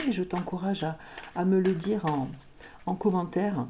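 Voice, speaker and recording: With a Toulouse accent, a woman speaks at a moderate pace and a medium pitch. Her tone is warm, with ordinary pitch variation. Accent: southern French (Toulouse). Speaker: tarot/oracle card reader. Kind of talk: spiritual guidance reading. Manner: hesitant, many fillers and repetitions; warm, intimate address.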